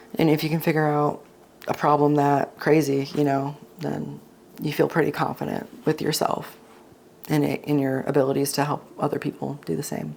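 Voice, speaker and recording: A woman speaks with a very deep, low pitch and vocal fry. Her intonation is monotone and flat, at a moderate pace. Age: 30s. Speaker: herbalist and former Marine. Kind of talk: casual chat.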